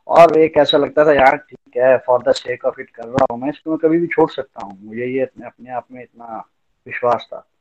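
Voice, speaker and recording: This man has an unremarkable speaking voice, fairly high in pitch, with fairly even intonation, a moderate pace, big swings in loudness and a dry, close sound with no echo. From Chamba, Himachal Pradesh, India. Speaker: lawyer. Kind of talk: testimony.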